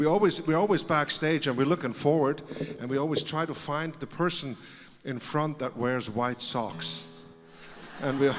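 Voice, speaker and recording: A man speaks at a fairly high pitch with a Swiss-German accent and ordinary pitch variation. Music plays in the background. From Switzerland. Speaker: musician. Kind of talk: stage banter. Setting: stage with audience.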